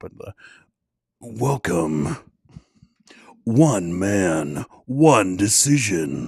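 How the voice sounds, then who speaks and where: A man in a put-on character voice, fairly low in pitch, with very wide pitch swings, a very slow pace and long, frequent pauses. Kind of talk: dramatic, announcer-like.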